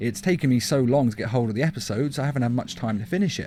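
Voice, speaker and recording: Somewhat breathy and with lively intonation, a man talks at a very fast pace in an English accent. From England. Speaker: YouTube reviewer. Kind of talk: video review.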